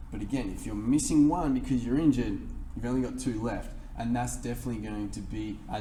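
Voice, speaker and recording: A fairly quick pace with audible room echo. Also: man. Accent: Australian. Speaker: fitness coach. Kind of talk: tutorial.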